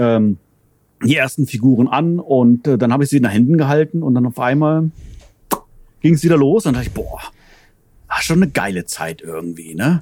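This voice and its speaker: Using a medium-pitched voice with a dark, mellow tone, a man talks at a fairly quick pace with very wide pitch swings and long, frequent pauses. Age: 40s. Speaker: toy collector. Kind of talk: casual chat. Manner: halting.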